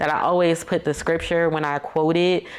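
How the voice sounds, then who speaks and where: Noticeable background noise sits behind a woman whose pitch is very deep and low. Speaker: faith and marriage podcast host. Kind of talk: casual faith talk monologue. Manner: stuttering.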